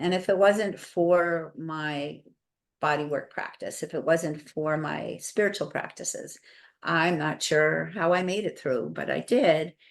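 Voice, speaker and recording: A woman speaks at a fairly slow pace in a fairly low pitch, with vocal fry and ordinary pitch variation. The background is quiet. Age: 70s. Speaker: health educator and bodyworker. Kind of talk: interview.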